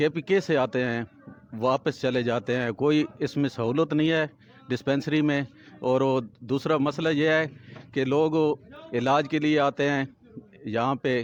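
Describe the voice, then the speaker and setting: A man has an unremarkable speaking voice with fairly high pitch. His intonation is fairly even and his loudness very even. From Makhad, Punjab, Pakistan. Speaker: local journalist and former councillor. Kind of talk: interview statement to camera.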